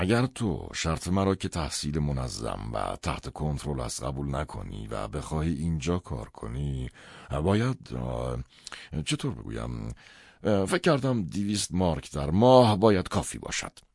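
In a put-on character voice, a man speaks at an extremely low pitch with big pitch swings, vocal fry, a slightly mellow tone and a slightly husky edge.

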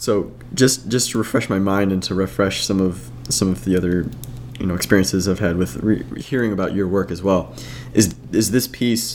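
A man with a very deep, low pitch makes very wide pitch swings at a moderate pace against noticeable background noise. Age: young. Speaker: podcast host. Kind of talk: scripted introduction; casual chat.

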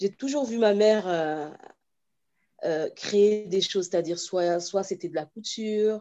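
Speaking at a very slow pace with long, frequent pauses, a woman uses a dark, mellow tone and ordinary pitch variation. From France, then Cameroon from age 8. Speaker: children's author and watercolourist. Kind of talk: interview. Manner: halting, many repetitions.

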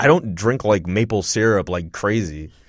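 A man with a Montreal accent speaks at a moderate pace in a very clean recording with a silent background. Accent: Canadian English (Montreal). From Montreal, Quebec. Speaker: podcast host. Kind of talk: casual chat. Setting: studio.

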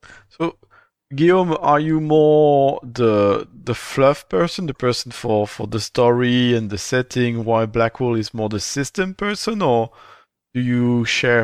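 A man speaks at a fairly slow pace in an ordinary speaking voice, his medium pitch rising and falling with lively intonation over a quiet background. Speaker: podcast host. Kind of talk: interview in English, partly French. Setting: streamed live on Twitch, recorded remotely.

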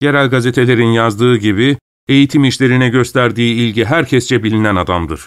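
The background is quiet. A person reads aloud in a natural voice.

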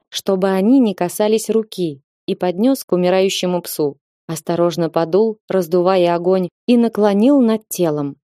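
The background is quiet. An unforced reading voice carries ordinary pitch variation.

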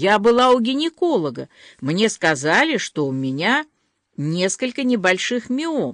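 The background stays quiet while the speaker is reading aloud in a natural voice.

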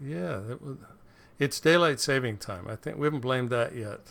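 On a very clean recording with a silent background, a man talks at a moderate pace in an ordinary speaking voice with ordinary pitch variation. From Canada. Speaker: podcast host. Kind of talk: casual chat.

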